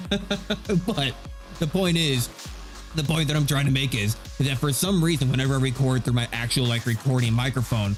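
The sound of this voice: With music in the background, a man of medium pitch speaks at a moderate pace, with ordinary pitch variation and very even loudness.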